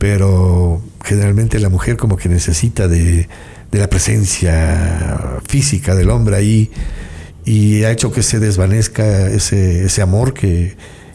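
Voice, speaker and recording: Delivered at a fairly slow pace, the speech has very even loudness and ordinary pitch variation over noticeable background noise. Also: man, very deep, low pitch for a man. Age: 60s. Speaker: singer-songwriter. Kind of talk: interview. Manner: halting.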